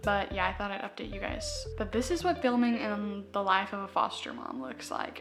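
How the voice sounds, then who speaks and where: A woman speaks at a moderate speed while background noise is noticeable. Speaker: vlogger and foster parent. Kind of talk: casual vlog chat. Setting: at home. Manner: soft-spoken.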